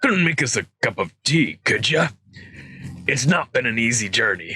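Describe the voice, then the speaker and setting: In a raspy put-on character voice, a man speaks at a moderate pace with a fairly high pitch. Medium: read story. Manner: rough, plain-spoken.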